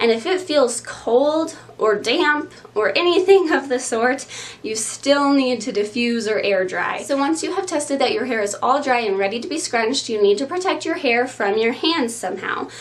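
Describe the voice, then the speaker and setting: Delivery moves at a moderate pace with lively intonation. Behind it sits noticeable background noise. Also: woman, high pitch for a woman. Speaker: curly hair YouTuber. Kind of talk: tutorial. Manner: casual, with frequent um fillers.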